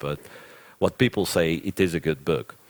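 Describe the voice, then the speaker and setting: A man speaks with a Russian accent at a moderate pace. His pitch is very deep and low with ordinary variation, and the sound is dry and close with no echo. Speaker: chess commentator. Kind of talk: live commentary, answering chat questions. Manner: hesitant, with frequent repetitions.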